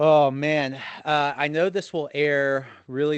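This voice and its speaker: A man over a quiet background. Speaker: podcast host. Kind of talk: casual chat. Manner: animated.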